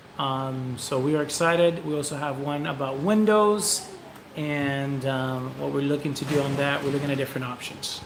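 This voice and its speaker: A man's fairly high voice with ordinary pitch variation, noticeable background noise, and audible room echo. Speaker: vlogger. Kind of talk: casual chat. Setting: livestream. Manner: fast.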